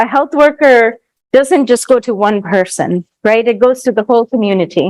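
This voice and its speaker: With lively intonation, a woman speaks at a fairly high pitch in a dry, close sound with no echo. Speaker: workshop instructor. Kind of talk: lecture. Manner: fast.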